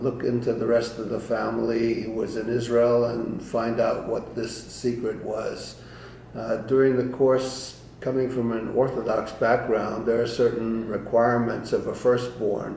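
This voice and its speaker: Against noticeable background noise and audible room echo, a man at a medium pitch speaks in a monotone, flat intonation. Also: fairly slow pace. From Eastern Europe (Romania/Ukraine). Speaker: Holocaust-era family history storyteller. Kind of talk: personal testimony. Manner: halting with frequent fillers.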